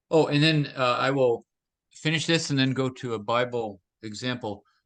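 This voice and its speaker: Against a quiet background, a man with an unremarkable speaking voice talks at a moderate pace with ordinary pitch variation. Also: medium pitch for a man. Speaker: teacher on temperaments and teamwork. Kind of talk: lecture with interpreter.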